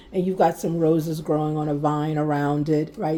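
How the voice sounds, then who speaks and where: A soft-spoken woman talks in a calm tone at a moderate pace. Her pitch is very deep and low, with a dark, mellow tone. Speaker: tarot card reader. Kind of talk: tarot reading. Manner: calm, mellow.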